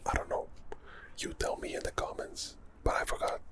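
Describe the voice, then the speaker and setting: Soft-spoken and calm in tone, a man talks at an extremely high pitch with lively intonation over noticeable background noise. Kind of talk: ASMR whisper ramble. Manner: soft-spoken, calm.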